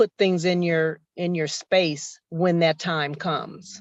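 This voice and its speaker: In a plain, everyday voice, a woman speaks at a fairly low pitch over a quiet background. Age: 60s. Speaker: workshop participant. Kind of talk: casual chat.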